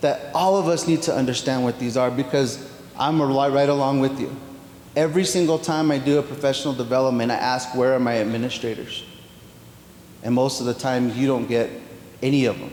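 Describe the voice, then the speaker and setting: With audible room echo and noticeable background noise, a man speaks at a fairly quick pace, medium in pitch, with fairly even intonation. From New Mexico, Pueblo of Zia. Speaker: education official. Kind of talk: Q&A answer at workshop. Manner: halting.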